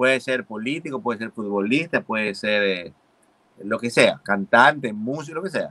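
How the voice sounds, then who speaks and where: A man speaks at medium pitch and a moderate pace. His tone is bright and sharp, his intonation lively. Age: 40s. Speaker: comedian and show host; comedian, show host. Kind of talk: casual chat. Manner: animated. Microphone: video call.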